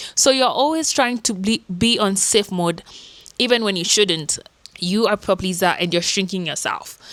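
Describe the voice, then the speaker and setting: With noticeable background noise behind her, a woman at medium pitch talks at a moderate pace with lively intonation. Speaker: self-help YouTuber. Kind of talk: casual vlog talk.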